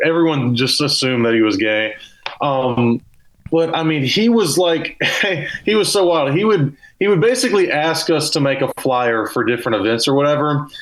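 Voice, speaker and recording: Man with a Southern US accent, lively intonation, very even loudness and a moderate pace. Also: fairly high pitch for a man. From US South (Mobile, Alabama). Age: 20s. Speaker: comedian. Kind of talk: casual chat. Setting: video call. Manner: halting.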